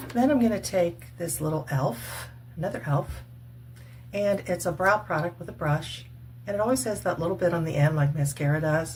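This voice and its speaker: A woman with a very deep, low pitch talks at a moderate pace. Her intonation is lively, and her voice has vocal fry. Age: 60s. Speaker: retired cosmetics worker and faith vlogger. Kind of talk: makeup tutorial. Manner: casual, chatty.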